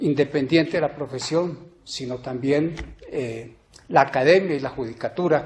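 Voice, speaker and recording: Using a plain, everyday voice, a man talks at a fairly slow pace with ordinary pitch variation. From Colombia, Ibagué. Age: 60s. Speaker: judicial candidate, law professor. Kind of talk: formal candidacy presentation. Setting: plenary court chamber. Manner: formal.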